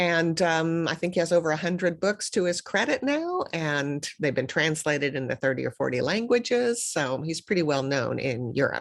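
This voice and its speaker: Her intonation is lively, with a fairly low pitch. The woman talks at a moderate pace. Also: hardly any pauses. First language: German. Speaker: professor. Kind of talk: recorded video talk. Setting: pre-recorded video.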